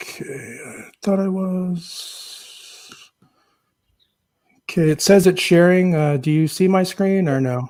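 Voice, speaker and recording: A man speaks quietly at a very slow pace and a high pitch. His pitch variation is ordinary, but his loudness swings widely. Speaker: nonprofit representative, guest panelist. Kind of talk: video call panel presentation. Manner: quiet, low-volume speaker; hesitant, many fillers.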